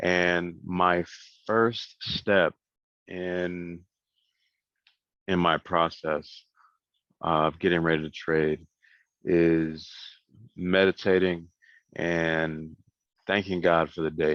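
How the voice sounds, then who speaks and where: A man with a very deep, low voice speaks very slowly in a monotone, flat way. He leaves long, frequent pauses against a quiet background. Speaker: forex trader and video host. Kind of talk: market analysis vlog.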